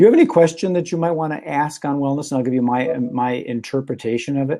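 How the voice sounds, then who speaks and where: With a Minnesotan accent and a dark, mellow tone, the speech runs at a fairly quick pace. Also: man. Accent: Minnesota. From Minnesota, Minneapolis. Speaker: talk show host and magician. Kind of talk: casual chat.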